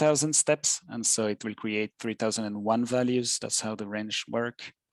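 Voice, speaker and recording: In a French accent, the speaker talks at a moderate pace with monotone, flat intonation, in a dry, close sound with no echo and a quiet background. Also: man. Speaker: software tutor. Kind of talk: tutorial. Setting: live webinar. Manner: halting, many fillers.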